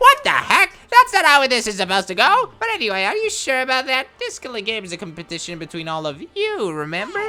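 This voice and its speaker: In a put-on character voice, the speaker goes at a very fast pace with a fairly high pitch. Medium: game stream. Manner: mocking, sing-song, gloating.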